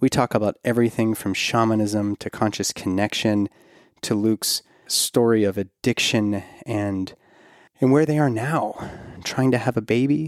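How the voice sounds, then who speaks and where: Recorded very cleanly against a silent background, a man talks at a moderate pace with ordinary pitch variation in a dry, close sound with no echo. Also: medium pitch for a man. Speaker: podcast host and OB-GYN. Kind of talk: podcast intro and sponsor reads; casual interview. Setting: in person recording. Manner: long-winded.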